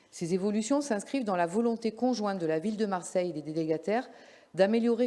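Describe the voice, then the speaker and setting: At a fairly quick pace, a woman talks in a plain, everyday voice with medium pitch and ordinary pitch variation. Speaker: local councillor. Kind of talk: council meeting report. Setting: council meeting. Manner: formal.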